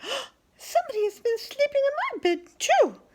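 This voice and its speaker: A squeaky, female-sounding put-on character voice speaks at an extremely high pitch and a moderate pace. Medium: read story.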